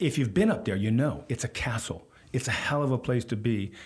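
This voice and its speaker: A man with a General American accent talks at a fairly quick pace. His voice is somewhat breathy, and his pitch varies in an ordinary way. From US West Coast (Stanford, California). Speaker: author and journalist. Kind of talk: interview. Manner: hesitant with many fillers.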